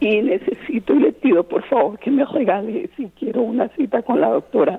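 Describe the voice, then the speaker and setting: A woman's high voice with very wide pitch swings, at a moderate pace, over noticeable background noise. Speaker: caller. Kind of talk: casual chat. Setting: phone call.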